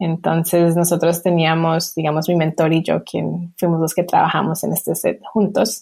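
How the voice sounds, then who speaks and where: Her pitch is fairly low. The woman talks at a moderate pace. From Colombia, then US from age 8. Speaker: emoji designer. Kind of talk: interview.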